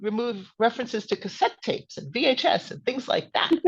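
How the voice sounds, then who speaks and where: Speaking at a very fast pace, a woman with an American accent has a fairly high pitch. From US Northeast, New Jersey suburbs. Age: 60s. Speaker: author and witchcraft teacher. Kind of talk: podcast interview.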